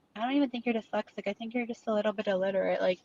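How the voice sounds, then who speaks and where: A woman speaks with a Chicago accent. The sound is dry and close, with no echo. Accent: Chicago American English. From Chicago, US, Polish immigrant family. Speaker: online commentary streamer. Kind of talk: casual chat.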